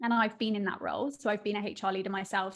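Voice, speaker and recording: A woman speaks in a monotone with flat intonation, at a medium pitch and with a British accent. Her pace is fairly quick. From southern England, Surrey. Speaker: business founder. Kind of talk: interview.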